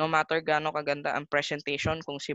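At a moderate pace, a woman with a very deep, low pitch speaks in a dry sound with no echo against a quiet background. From Philippines. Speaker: math teacher. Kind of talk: casual chat; lecture. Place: home room. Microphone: webcam.

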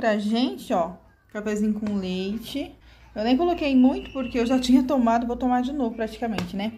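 Over light background noise, a woman with a fairly high voice and a dark, mellow tone speaks at a moderate pace. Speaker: family vlogger, mother; family vlogger. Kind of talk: casual vlog talk to camera. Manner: animated. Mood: warm, playful. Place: home room. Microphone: phone near.

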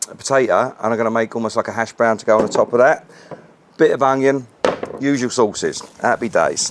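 A man with a British accent talks at a fairly quick pace with fairly even intonation over noticeable background noise. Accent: English (UK), informal. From England. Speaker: BBQ cooking channel host. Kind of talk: casual cooking tutorial. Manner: fast. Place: garden.

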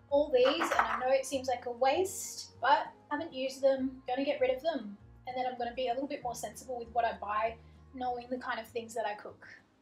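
Clear music plays behind a high-pitched woman whose voice carries audible room echo. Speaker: home organising vlogger. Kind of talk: casual vlog chat. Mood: light, self-mocking humour. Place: kitchen.

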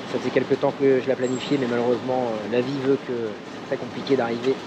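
A man talking at a fairly quick pace amid noticeable background noise. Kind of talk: casual vlog chat. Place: street. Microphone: phone near.

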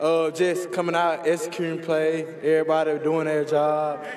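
With audible room echo and light background noise, a man speaks at a moderate pace in a fairly high, flat, monotone voice. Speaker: college football player. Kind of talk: post-game interview; interview answer. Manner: breathless, halting. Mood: happy, humble after win. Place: stadium. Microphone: handheld.

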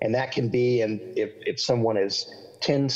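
Against a quiet background, a man speaks somewhat breathily with a slight Southern accent. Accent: slight Southern, milder than local drawl. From US South, central Florida. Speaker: pastor and author; pastor. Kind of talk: interview. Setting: video call. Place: home room. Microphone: video call.

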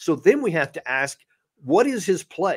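Over a quiet background, a man with a Texan accent talks with very wide pitch swings. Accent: Texan American English. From Texas. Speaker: retired army officer and commentator; guest commentator. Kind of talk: live-stream interview. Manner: hesitant, repeats words. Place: home room. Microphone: studio mic.

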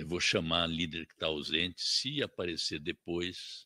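A man with a very deep, low voice and a bright, sharp tone speaks at a moderate pace with fairly even intonation. The sound is dry, with no echo. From Brazil. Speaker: committee chairman. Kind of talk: chairing a parliamentary session. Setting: parliamentary committee room. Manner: formal. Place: meeting room. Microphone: podium.

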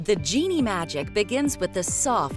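Very wide pitch swings from a woman of medium pitch at a fairly slow pace, with music in the background. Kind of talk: TV commercial read.

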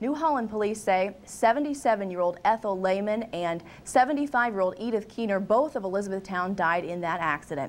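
A woman talks at a moderate pace, and her intonation is lively. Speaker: news anchor. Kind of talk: news reading. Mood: serious neutral news tone. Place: studio.

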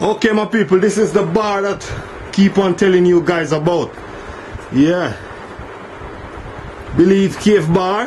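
A man talks over light background noise. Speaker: tour guide vlogger. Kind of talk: casual vlog chat. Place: tunnel cave. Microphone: phone near.

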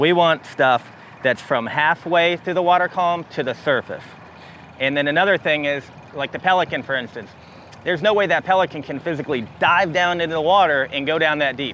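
Over light background noise, a man talks with ordinary pitch variation in a dry sound with no echo. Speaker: fishing guide host. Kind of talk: tutorial. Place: boat.

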